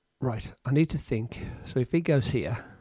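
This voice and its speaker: A man with an English accent sounds somewhat breathy at medium pitch, with ordinary pitch variation. The recording is dry and close with no echo. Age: 60s. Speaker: amateur chess streamer. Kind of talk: casual commentary while playing chess. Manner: hesitant, repeats words.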